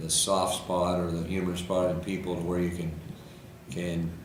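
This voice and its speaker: A man with a very deep, low voice speaks fairly slowly in a flat monotone, with noticeable background noise behind him. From Washington State, USA. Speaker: auctioneer. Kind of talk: interview answer. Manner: relaxed, conversational, self-deprecating.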